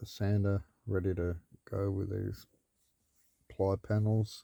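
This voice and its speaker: A man with an Australian accent speaks at a fairly low pitch in a dark, mellow tone. The sound is dry and close, with no echo. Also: very clean recording, silent background. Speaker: vlogger building a vehicle. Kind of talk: casual video log. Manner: rambling, hesitant.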